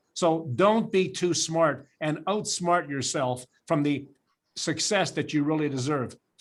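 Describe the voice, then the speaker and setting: A fairly high male voice with normal pitch movement. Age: 60s. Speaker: retired insurance advisor. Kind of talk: panel discussion. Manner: animated.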